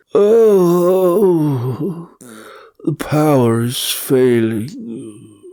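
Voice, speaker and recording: A put-on character voice at a middle pitch. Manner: mimicking a man's voice, theatrical.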